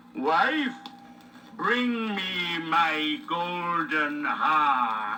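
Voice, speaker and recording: Over clear background noise, a man puts on a character voice at a high pitch. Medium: read story. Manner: bossy, commanding.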